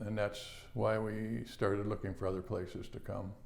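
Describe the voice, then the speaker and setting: A man speaks at a moderate pace and medium pitch. Room echo is audible. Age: 70s. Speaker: cancer patient. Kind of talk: testimony. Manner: halting.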